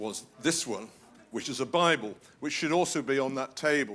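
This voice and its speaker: The pace is moderate. The speaker is a man with a British accent. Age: 70s. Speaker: guest preacher. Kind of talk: sermon. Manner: animated.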